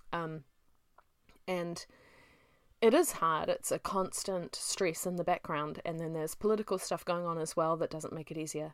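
With a very clean recording and a silent background, a woman speaks at a moderate pace in a fairly low pitch, keeping her intonation fairly even and leaving long, frequent pauses. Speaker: self-published author and podcast host. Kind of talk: casual solo monologue.

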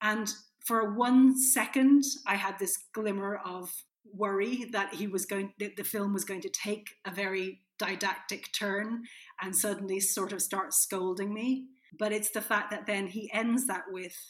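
Fairly slow, fairly even speech in an Irish accent. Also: woman, medium pitch for a woman. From Ireland. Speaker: film critic. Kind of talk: casual chat.

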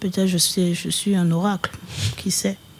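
Noticeable background noise around a woman talking at a moderate pace. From Paris region (Val-de-Marne). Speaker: rapper. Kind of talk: casual interview chat.

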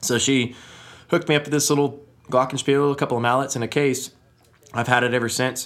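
In a flat monotone at medium pitch, a man rattles along at a very fast pace yet leaves long, frequent pauses. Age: young. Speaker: musician. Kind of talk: casual chat.

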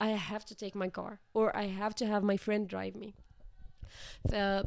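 At medium pitch, a woman talks at a fairly slow pace. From Morocco. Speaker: architecture student and volunteer. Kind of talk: interview. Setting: Copenhagen.

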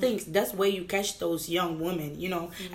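A woman speaks with fairly even intonation. Background noise can be clearly heard. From New York and Madison, Wisconsin (born in Gambia). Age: 20s. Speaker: university student. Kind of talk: casual chat.

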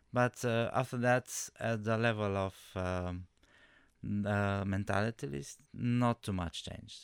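The recording is very clean, with a silent background. A man with a Romanian accent speaks fairly slowly at a fairly low pitch, with ordinary pitch variation. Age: 40s. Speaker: immigrant. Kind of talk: panel discussion. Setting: studio. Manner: halting.

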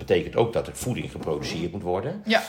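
A man talks fairly quickly while noticeable background noise carries on around him. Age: 60s. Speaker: nurse. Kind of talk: casual chat. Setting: studio. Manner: halting.

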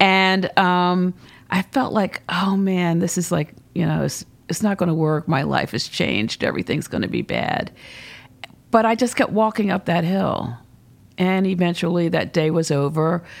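A woman with an ordinary speaking voice and fairly low pitch talks at a moderate pace with ordinary pitch variation. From Baltimore and Philadelphia, US. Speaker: nonprofit executive. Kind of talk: interview. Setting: office turned into studio.

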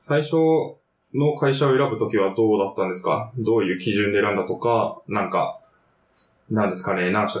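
A man has a normal speaking voice, fairly low in pitch. He speaks at a fairly quick pace with ordinary pitch variation. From Kanto region, Japan. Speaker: podcast host. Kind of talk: casual chat.

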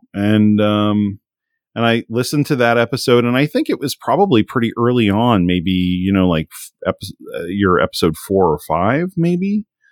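With a normal speaking voice at medium pitch, a man talks at a moderate pace with lively intonation in a very clean, silent recording that sounds dry and close with no echo. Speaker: homebrew programmer and streamer. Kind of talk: casual interview chat.

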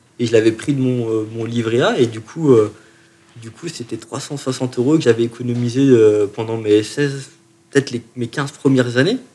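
At a moderate pace, a man with a dark, mellow tone and medium pitch speaks with fairly even intonation and big swings in loudness. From France, Chalon-sur-Saône (Burgundy). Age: 30s. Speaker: musician. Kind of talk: interview. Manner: halting, many repetitions.

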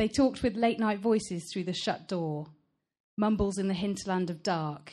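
The speaker uses an unforced reading voice with ordinary pitch variation. The background is quiet.

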